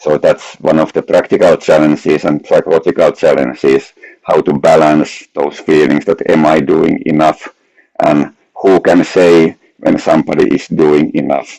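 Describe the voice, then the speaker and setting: A man with a Finnish accent speaks at a moderate pace. His loudness stays very even. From Finland. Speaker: researcher. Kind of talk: academic lecture.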